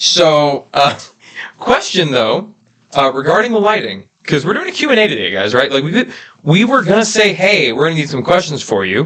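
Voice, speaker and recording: A man speaks loudly at a moderate pace with a fairly high pitch. His pitch swings very widely. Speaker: YouTube family channel co-host. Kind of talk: live stream Q&A chat. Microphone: reverb echo on his mic.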